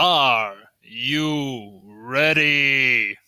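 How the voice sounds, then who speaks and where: Using a put-on character voice, a man speaks at a medium pitch with ordinary pitch variation. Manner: booming, hyping a crowd.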